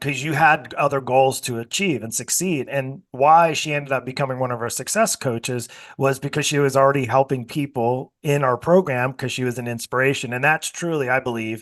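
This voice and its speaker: A man's medium-pitched voice at a fairly quick pace, with ordinary pitch variation and a quiet background. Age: 50s. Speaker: podcast host and fitness coaching business owner. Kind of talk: interview. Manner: animated.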